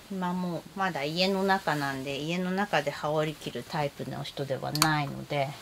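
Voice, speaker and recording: A woman's relaxed voice, very deep and low in pitch, at a moderate pace with ordinary pitch variation, over noticeable background noise. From Japan. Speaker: kimono vlogger. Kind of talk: casual chat. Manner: chatty, relaxed, laughs often. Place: home room. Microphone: phone near.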